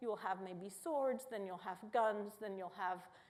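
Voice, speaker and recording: A woman speaks at a moderate pace and medium pitch, with ordinary pitch variation. Her tone is dark and mellow, and audible room echo surrounds her voice. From Italy. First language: Italian. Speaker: neuroscience professor. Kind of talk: public lecture. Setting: auditorium with audience.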